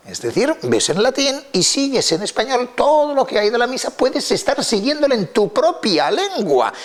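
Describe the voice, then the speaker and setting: A man talks at a moderate pace in an extremely high voice, barely pausing at all. His pitch swings very widely. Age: 70s. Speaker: lexicologist and Latin expert. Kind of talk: interview talk. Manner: halting, with many fillers.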